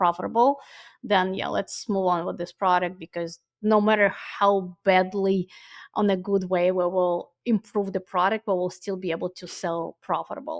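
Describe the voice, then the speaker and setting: A woman speaks at a medium pitch with fairly even intonation. The sound is dry and close, with no echo. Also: quiet background. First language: not English. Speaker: ecommerce agency founder. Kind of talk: podcast interview. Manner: halting, frequent fillers.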